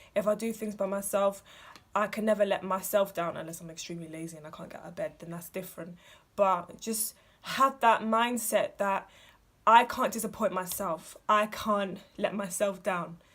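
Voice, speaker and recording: This woman has a plain, everyday voice at a medium pitch, with fairly even intonation. She talks at a moderate pace, and her loudness swings widely. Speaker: vlogger. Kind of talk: casual advice vlog.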